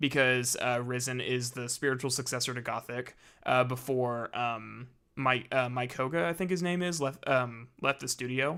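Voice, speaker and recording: A man speaks at a medium pitch and a moderate pace, his tone bright and sharp. His intonation stays fairly even, and the recording is very clean with a silent background. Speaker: gaming streamer. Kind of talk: casual live stream chat. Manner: stuttering, halting.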